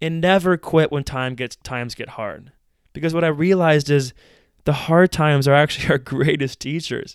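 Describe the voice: A man with an American accent speaks at a fairly high pitch in a clear, smooth tone, on a very clean recording with a silent background. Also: ordinary pitch variation, moderate pace.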